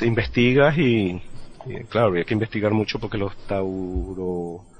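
A fairly low-pitched man with a strong Venezuelan accent, over noticeable background noise. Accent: Venezuelan, still strong. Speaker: podcaster. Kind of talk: casual chat.

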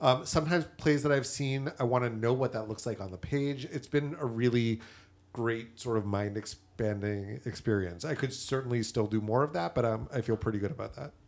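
In a very clean recording with a silent background, a man with an American accent and an unremarkable speaking voice talks at a fairly quick pace, his medium pitch showing ordinary pitch variation. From Massachusetts. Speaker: theater commentator. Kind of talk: casual chat.

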